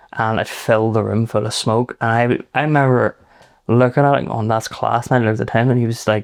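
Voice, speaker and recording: In a Belfast accent, a man talks at a very fast pace. His intonation is fairly even. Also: medium pitch for a man, quiet background. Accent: West Belfast. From Northern Ireland, West Belfast. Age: 30s. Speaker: private chef. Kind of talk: casual chat.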